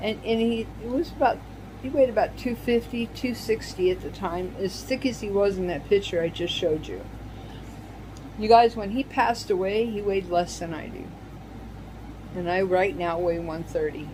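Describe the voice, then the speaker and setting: Against noticeable background noise, a woman speaks at a moderate pace, leaving long, frequent pauses. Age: 60s. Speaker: senior lifestyle vlogger, widow. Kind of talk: personal testimony vlog. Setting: home video in her apartment. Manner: halting, emotional.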